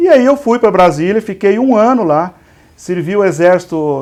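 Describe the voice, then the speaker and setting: A man with a Minas Gerais accent speaks with very wide pitch swings against a quiet background. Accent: somewhat mineiro (Minas Gerais). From interior of São Paulo state (Igarapava, Minas Gerais border). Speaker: pharmacy industry executive, civil engineer. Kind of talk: interview. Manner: halting, repeats words.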